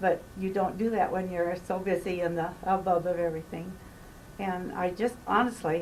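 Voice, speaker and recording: Her voice sits at medium pitch with monotone, flat intonation. The woman speaks at a moderate pace, and audible room echo surrounds her. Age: 70s. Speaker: hospice patient. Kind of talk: interview. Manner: halting.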